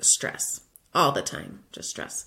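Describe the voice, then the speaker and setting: A woman with an American accent at a moderate pace. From Florida. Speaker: podcast host, former teacher turned UX designer. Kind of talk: solo podcast monologue.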